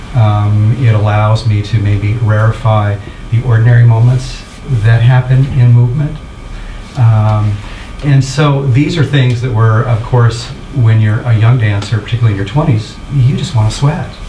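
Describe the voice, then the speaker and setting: Against noticeable background noise, a man at medium pitch speaks at a moderate pace with fairly even intonation. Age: 60s. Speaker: dancer. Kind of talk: panel discussion. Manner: halting.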